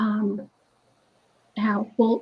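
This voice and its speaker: With an American accent, a woman speaks in a fairly high voice with a dark, mellow tone. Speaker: roundtable panelist. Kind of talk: panel discussion. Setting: video call. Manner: loud.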